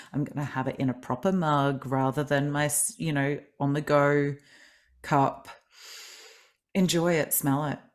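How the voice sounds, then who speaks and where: A woman with an Australian accent speaks at a fairly slow pace, with long, frequent pauses. Her pitch is very deep and low, her intonation fairly even, and the recording very clean with a silent background. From Australia, grew up in Adelaide. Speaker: kinesiologist and life coach, author. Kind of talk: podcast interview.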